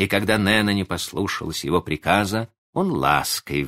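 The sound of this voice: Quiet surroundings and an unforced reading voice.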